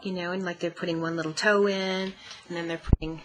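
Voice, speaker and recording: Noticeable background noise runs throughout. Over it, a woman speaks at a fairly quick pace. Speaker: guest, mentor. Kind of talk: interview answer.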